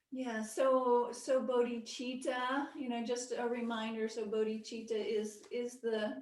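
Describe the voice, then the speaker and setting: Soft-spoken and high-pitched, a woman talks in a monotone, flat intonation with hardly any pauses, with audible room echo around her. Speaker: Buddhist meditation teacher. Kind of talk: lecture; casual chat. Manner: halting.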